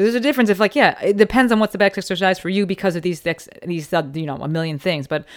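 A woman talks at a very fast pace in a fairly low pitch with lively intonation. The recording is very clean, with a silent background. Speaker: podcast host. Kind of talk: casual interview. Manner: fast talker.

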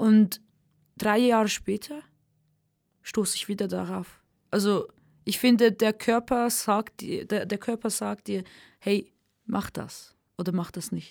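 In a very clean recording with a silent background, a woman speaks at a very slow pace with long, frequent pauses, a fairly high pitch and fairly even intonation. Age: 20s. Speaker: singer and rapper. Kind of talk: interview. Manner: halting.

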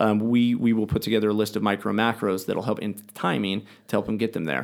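A man talks with a fairly low pitch. The recording is very clean, and the background is silent. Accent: American. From United States. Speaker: triathlete and supplement business owner. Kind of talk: casual interview chat. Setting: studio.

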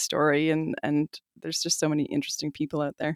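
A woman's very fast speech with a Canadian accent, dry and close with no echo, on a very clean recording with a silent background. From Calgary, Alberta, Canada. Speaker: magazine editor and podcast producer. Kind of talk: interview.

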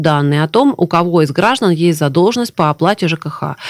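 With a normal speaking voice, a woman talks fairly quickly at a fairly low pitch and with lively intonation. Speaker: government official, deputy minister of social protection. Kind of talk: live radio interview answering listener questions. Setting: radio studio, live broadcast. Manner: formal, explanatory.

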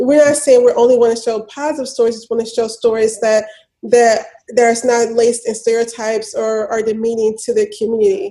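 A normal speaking voice moves at a fairly quick pace, with fairly even intonation but big swings in loudness. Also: woman, fairly high pitch for a woman. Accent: American. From US South, Memphis, Tennessee. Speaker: media entrepreneur and filmmaker. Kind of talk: interview.

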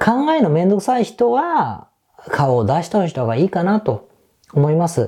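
A man with a dark, mellow tone speaks at a fairly slow pace, his pitch swinging very widely. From Japan, Osaka. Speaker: business consultant, podcast host. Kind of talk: solo podcast monologue. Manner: casual, conversational.

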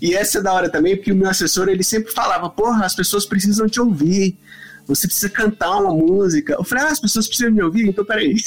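With noticeable background noise behind him, a man with a high pitch speaks at a very fast pace, his loudness very even and his pitch variation ordinary. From São Paulo, Brazil. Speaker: guitarist. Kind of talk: casual chat.

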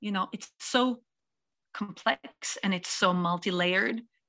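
A woman's fairly slow, bright, sharp voice at medium pitch, with a Norwegian accent and ordinary pitch variation. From Norway. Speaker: singer-songwriter and music producer. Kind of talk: interview.

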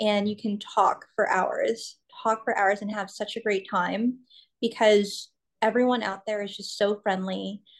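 The intonation is monotone and flat over a quiet background. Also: woman, fairly high pitch for a woman. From California, US. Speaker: grief coach and motivational speaker. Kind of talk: interview. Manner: halting, many fillers.

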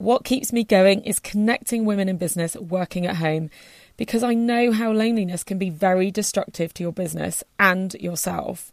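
A woman with a slight West Country accent at medium pitch and a fairly quick pace, in a very clean, dry, close recording with no echo and a silent background. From Somerset, southwest England. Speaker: podcast host and business owner. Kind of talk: podcast trailer, scripted promo. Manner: friendly, conversational, laughs often.

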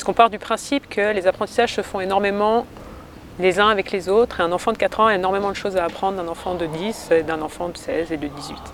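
Talking at a very fast pace, a woman with medium pitch and ordinary pitch variation is heard over noticeable background noise. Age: 30s. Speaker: teacher. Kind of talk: interview.

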